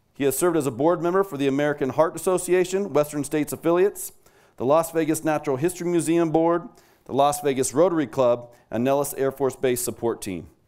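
The delivery races along at a very fast pace. Behind it, all is quiet. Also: man, fairly high pitch for a man, ordinary pitch variation. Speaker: awards ceremony presenter. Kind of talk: award presentation speech. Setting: stage with audience. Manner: formal. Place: hall. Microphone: podium.

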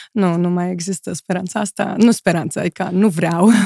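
Dark, mellow tone at a moderate pace, with fairly even intonation, a quiet background and a dry sound with no echo. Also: woman. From Moldova. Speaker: model and influencer; influencer. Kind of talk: casual interview chat. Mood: relaxed, thoughtful. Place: studio. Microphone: studio mic.

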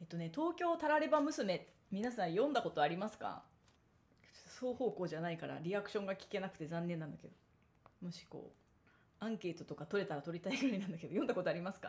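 Speaking at a very fast pace, a woman with a medium pitch and a somewhat breathy voice makes very wide pitch swings and big swings in loudness. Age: 30s. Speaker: solo talk show host, former magazine editor; solo talk show host. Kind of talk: solo monologue talk. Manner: casual, chatty with many fillers. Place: home room. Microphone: studio mic.

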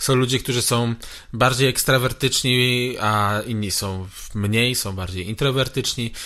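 At a fairly slow pace, a man speaks in a bright, sharp tone. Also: medium pitch for a man, fairly even intonation. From Poland, Brzeg area. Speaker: guitarist and guitar teacher. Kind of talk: casual interview chat. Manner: repeats words, hesitant.

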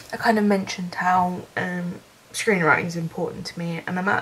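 A woman with a fairly low voice talks while noticeable noise fills the background. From Brighton, England. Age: 20s. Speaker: film student. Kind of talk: casual talk to camera.

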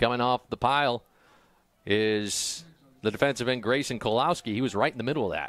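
Ordinary pitch variation and a medium pitch mark this man's unremarkable speaking voice. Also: very clean recording, silent background. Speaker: play-by-play announcer. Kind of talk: live sports commentary, play-by-play. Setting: stadium press box broadcast.

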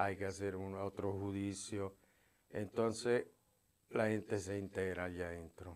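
A man speaks at a fairly low pitch and a fairly slow pace in a flat monotone. The background is quiet. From Italy. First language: Italian (speaking Spanish). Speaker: former prisoner; interview guest. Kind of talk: testimony. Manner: halting. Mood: calm, serious storytelling. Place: studio. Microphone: lapel.

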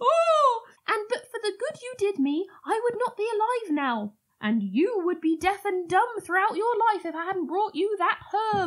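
Putting on a squeaky character voice, a woman speaks at a moderate pace with an extremely high pitch and lively intonation.

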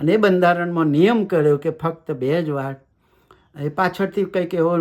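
A man's high-pitched voice, with normal variation in pitch, comes through on a very clean recording against total silence. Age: 60s. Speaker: YouTube commentator. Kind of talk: monologue commentary. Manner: conversational.

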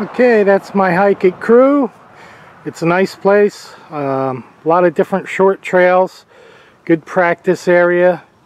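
A man's high voice at a very slow pace, with ordinary pitch variation and a dry sound with no echo. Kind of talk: casual vlog chat. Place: open country. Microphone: phone near.

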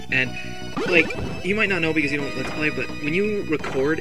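A dry sound with no echo, plus clear music in the background. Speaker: gaming let's play commentator. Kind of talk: casual gameplay commentary. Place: home room.

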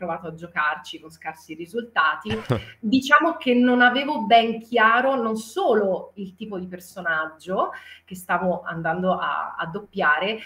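The woman's speech is fairly slow, her intonation lively. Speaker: voice actor. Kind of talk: interview answer. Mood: cheerful, animated. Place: home room. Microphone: video call.

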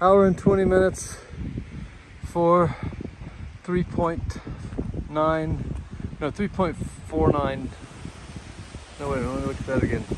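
Speech comes very slowly with long, frequent pauses, the sound dry with no echo and noticeable background noise underneath. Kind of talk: casual vlog commentary. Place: open country. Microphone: phone near.

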